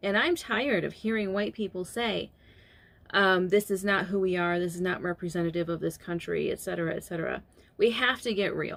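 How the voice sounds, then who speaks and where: A woman with a medium pitch talks at a fairly quick pace. Her pitch variation is ordinary. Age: 40s. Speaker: beauty vlogger. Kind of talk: casual monologue while doing makeup. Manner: hesitant, with fillers.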